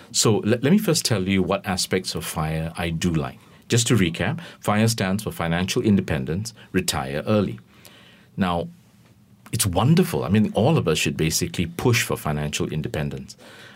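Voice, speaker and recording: A man's very deep, low voice with vocal fry. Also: lively intonation, moderate pace. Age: 50s. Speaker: financial planner. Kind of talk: radio interview.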